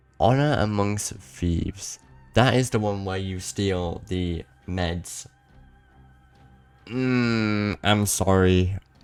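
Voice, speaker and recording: A man's fairly low voice at a very slow pace, with long, frequent pauses, ordinary pitch variation and music in the background. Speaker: speedrunner. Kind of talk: casual gaming commentary. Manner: casual, rambling.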